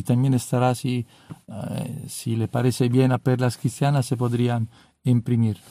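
A man with an Italian accent speaks at a fairly slow pace in a medium pitch, his intonation fairly even. His tone is dark and mellow, and the sound is dry and close with no echo. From Italy (Rome). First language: Italian (speaking Spanish). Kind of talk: religious talk. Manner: halting.

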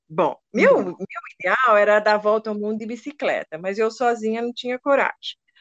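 Speaking at a moderate pace, a woman uses a fairly high pitch. The sound is dry and close with no echo. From Brazil, São Paulo coast (caiçara). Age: 60s. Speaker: retired poet and photographer. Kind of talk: interview. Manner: talkative.

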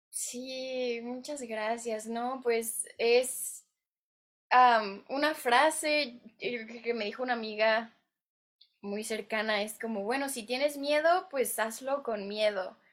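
A woman talks at a very slow pace. Her voice is high. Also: ordinary pitch variation. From Mexico. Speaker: actress and writer. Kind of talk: interview.

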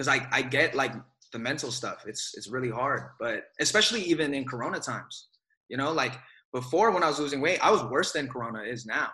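A man with an American accent has a normal speaking voice and ordinary pitch variation. He talks at a fairly quick pace. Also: fairly high pitch for a man. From Bay Area, California. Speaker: actor. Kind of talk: casual interview.

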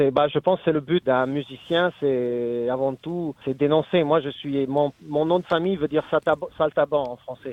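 With an Italian accent, a man talks at a fairly slow pace in a fairly high pitch, his intonation fairly even. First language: Italian (speaking French). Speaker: singer-songwriter. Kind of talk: interview. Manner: halting.

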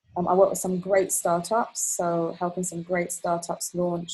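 Here a woman speaks with a British accent. Her voice is somewhat breathy and fairly low in pitch. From UK (raised partly in Kuwait, Palestinian family). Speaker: creative director and trend strategist. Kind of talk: podcast interview.

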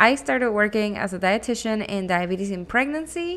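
A woman speaks with a Spanish accent at a fairly high pitch. Her pace is moderate and her intonation lively. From Venezuela, Caracas. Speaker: physician assistant, podcast host. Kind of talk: solo podcast monologue.

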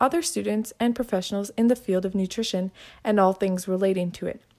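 On a very clean recording with a silent background, a woman with a normal speaking voice talks at a fairly quick pace with ordinary pitch variation. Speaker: student podcast host. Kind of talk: podcast intro.

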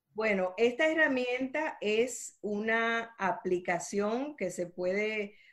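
This woman talks at a very slow pace. Her pitch varies in an ordinary way. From Dominican Republic. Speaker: entrepreneur and speaker. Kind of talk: interview.

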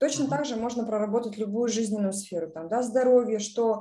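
A dark, mellow tone with ordinary pitch variation. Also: woman. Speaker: project portfolio manager. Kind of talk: online presentation.

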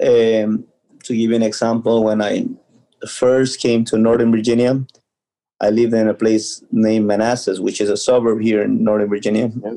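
With a Spanish accent, a man talks at a moderate pace in a medium-pitched, dark, mellow voice with flat, monotone intonation. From Ecuador. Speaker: youth soccer coach. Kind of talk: casual interview.

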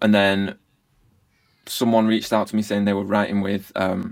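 With an English accent, a man talks at a fairly quick pace in a fairly low pitch, his intonation monotone and flat. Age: 30s. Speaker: music producer. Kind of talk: casual interview chat.

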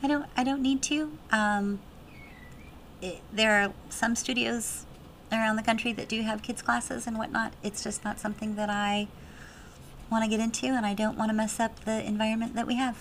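Somewhat breathy, a woman speaks at a moderate pace with a fairly high pitch and fairly even intonation. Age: 40s. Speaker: pole dance studio owner and instructor. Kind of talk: interview. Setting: studio.

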